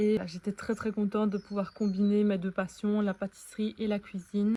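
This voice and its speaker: A woman's somewhat breathy, medium-pitched voice with a dark, mellow tone, monotone, flat intonation and a moderate pace. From Belgium. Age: 20s. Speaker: vlogger, dietitian. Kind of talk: vlog introduction.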